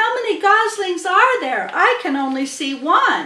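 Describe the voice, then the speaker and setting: Using a put-on character voice, a woman projects at an extremely high pitch in a raised voice. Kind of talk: children's storybook reading. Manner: eager, then disgusted.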